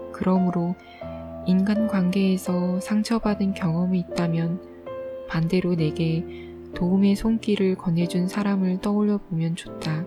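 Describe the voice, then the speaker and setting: Over music in the background, a woman speaks at a very slow pace in a calm, soothing tone, her medium pitch showing ordinary variation. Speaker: audiobook reader. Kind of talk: audiobook reading, sleep-aid ASMR.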